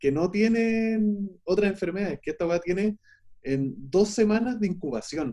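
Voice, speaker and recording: A man speaks with a Chilean accent at a moderate pace, his voice high-pitched with a dark, mellow tone. His intonation is lively. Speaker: film editor. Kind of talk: casual chat. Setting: remote call.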